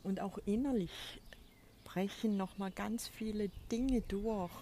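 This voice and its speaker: A somewhat breathy woman's voice, dark and mellow in tone, at a very slow pace. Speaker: spiritual coach podcaster. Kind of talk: spiritual monologue. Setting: outdoors on a balcony.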